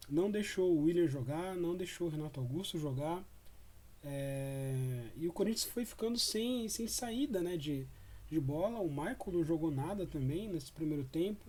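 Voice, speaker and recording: High male voice with a dark, mellow tone, lively intonation, and a moderate pace. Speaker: football fan commentator. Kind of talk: post-match commentary. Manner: casual, hesitant with fillers.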